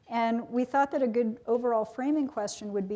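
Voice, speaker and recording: A woman with a dark, mellow tone speaks with ordinary pitch variation. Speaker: panel moderator. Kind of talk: panel discussion moderation. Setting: stage with audience.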